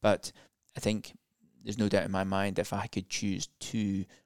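The sound is dry and close with no echo. A man with vocal fry talks at a fairly low pitch and a moderate pace. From UK. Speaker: professor and interventional cardiologist. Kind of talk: interview conversation.

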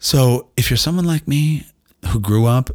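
On a very clean recording with a silent background, a man speaks at a fairly quick pace in a somewhat breathy voice with an animated tone. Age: 50s. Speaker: doctor and podcast host. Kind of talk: casual monologue. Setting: home studio.

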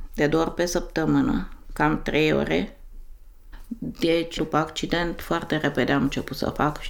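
A woman talks at a fairly slow pace. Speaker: interviewee. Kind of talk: casual chat.

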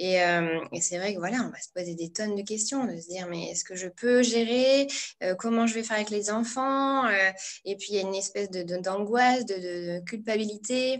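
A woman's medium-pitched voice at a moderate pace, with ordinary pitch variation, big swings in loudness and noticeable background noise. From northern France (Pas-de-Calais). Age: 30s. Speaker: blogger and entrepreneurship coach. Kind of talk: interview.

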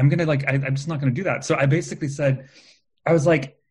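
Talking at a very fast pace, a man with an American accent has a somewhat breathy, fairly high-pitched voice. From California. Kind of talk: casual chat. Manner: animated, many fillers.

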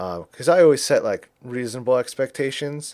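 Fairly quick in pace, a man speaks in a normal speaking voice. His pitch variation is ordinary, and the recording is very clean with a silent background. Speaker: podcaster. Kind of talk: casual chat.

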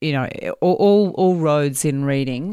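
Heard on a very clean recording with a silent background, the woman talks in an Australian accent. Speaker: academic researcher in language and literacy. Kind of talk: educational discussion with audience. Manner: hesitant, with many fillers.

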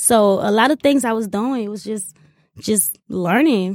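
A woman speaks in a plain, everyday voice at a medium pitch and a moderate pace with ordinary pitch variation. The recording is very clean with a silent background and a dry, close sound with no echo. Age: 30s. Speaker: restaurant owner. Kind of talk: interview.

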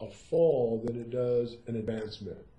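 A man's voice against noticeable background noise. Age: 60s. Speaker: Zen teacher. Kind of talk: interview.

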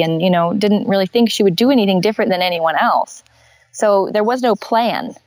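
A woman with a West Coast accent talks fairly quickly at a medium pitch. Her intonation is lively, and the sound is dry and close with no echo. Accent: American West Coast. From Northern California and Hawaii. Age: 20s. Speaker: glass artist. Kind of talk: interview conversation.

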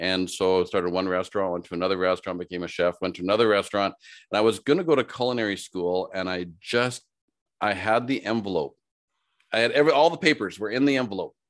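Against a quiet background, a man with a Canadian prairie accent talks at a very fast pace and fairly low pitch with ordinary pitch variation. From Saskatchewan, Canada (Saskatoon). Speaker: HR consultant and business speaker. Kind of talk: casual interview.

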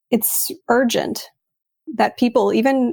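In a very clean recording with a silent background, a woman speaks with a Texas accent and ordinary pitch variation. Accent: American (Texas). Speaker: writer, artist and publisher. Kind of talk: interview conversation.

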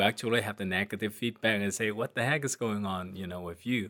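Recorded very cleanly against a silent background, a man speaks in a fairly low pitch with fairly even intonation. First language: not English. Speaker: transportation safety researcher. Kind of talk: casual interview.

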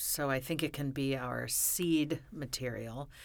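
Her very deep, low voice moves at a fairly slow pace with fairly even intonation. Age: 50s. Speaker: memoir author. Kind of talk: casual chat. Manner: halting.

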